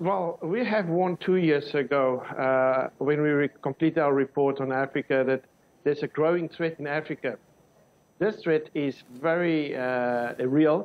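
Ordinary pitch variation and a moderate pace from a male speaker. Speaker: guest. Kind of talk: interview answer. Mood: serious, concerned. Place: studio. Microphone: lapel.

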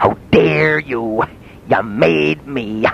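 A man puts on a character voice. His pitch is fairly low, and clear background noise can be heard. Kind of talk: spoken performance piece. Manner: angry, indignant.

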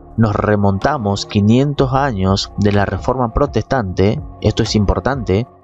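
At a very slow pace, a man with a fairly low pitch speaks with ordinary pitch variation in a dry sound with no echo, faint music playing in the background. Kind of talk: commentary. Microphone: studio mic.

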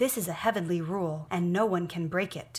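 The voice is somewhat breathy and moves at a moderate pace. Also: woman. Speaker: reader in a religious film. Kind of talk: scripture reading aloud. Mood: earnest, solemn. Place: home room.

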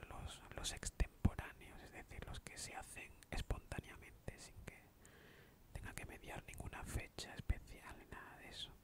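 A man is whispering at a moderate pace. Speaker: ASMR creator. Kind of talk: soft-spoken ASMR Q&A chat. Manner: soft close-mic ASMR speech. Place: home room. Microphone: studio mic.

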